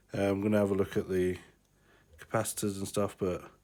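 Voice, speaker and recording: Speaking at a fairly quick pace with a British accent, a man with a very deep, low pitch stays monotone with flat intonation. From UK. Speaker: hobbyist electronics repairer. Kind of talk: tutorial. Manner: casual, hesitant with fillers.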